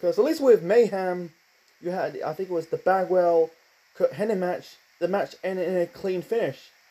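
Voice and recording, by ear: A man's dark, mellow voice, high in pitch and fairly slow in pace.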